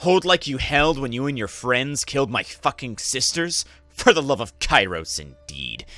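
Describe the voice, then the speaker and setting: Using a put-on character voice, a man hisses at a moderate pace with medium pitch and lively intonation, faint music playing in the background. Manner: hissed through clenched teeth.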